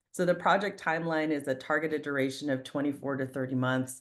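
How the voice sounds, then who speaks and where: At a moderate pace, a woman speaks with fairly even intonation in a very deep, low voice. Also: quiet background. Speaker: real estate fund investor. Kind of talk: investment presentation on a group call. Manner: many filler words (um, uh).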